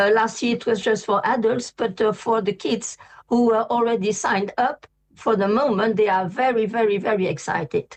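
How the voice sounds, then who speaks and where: A woman with a French accent speaks at a fairly high pitch and moderate pace, her intonation fairly even and her loudness very even. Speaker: vegan pastry chef. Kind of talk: interview. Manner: halting.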